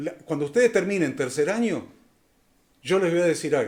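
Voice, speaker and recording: A high-pitched man with lively intonation. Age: 60s. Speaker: Bible college professor. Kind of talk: lecture. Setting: live online class. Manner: halting, with many fillers.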